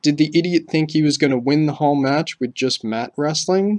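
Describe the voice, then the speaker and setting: In a plain, everyday voice, a man speaks at a moderate pace with a fairly high pitch and ordinary pitch variation, the sound dry and close with no echo. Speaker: wrestling commentator. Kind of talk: scripted opinion commentary.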